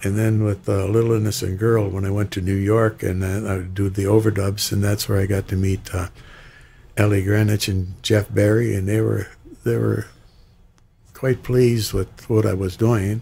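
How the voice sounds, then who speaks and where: A man with an American accent speaks at a fairly low pitch in a dark, mellow tone. His voice is somewhat breathy and his intonation monotone and flat. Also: moderate pace. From Michigan Upper Peninsula (Republic); Michigan. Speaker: singer; guest. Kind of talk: interview. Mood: warm, nostalgic. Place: studio. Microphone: studio mic.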